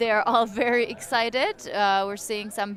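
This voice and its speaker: At a fairly slow pace, a woman with a non-native accent speaks in a fairly high voice, her intonation fairly even. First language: not English. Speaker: sports commentator. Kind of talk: live commentary.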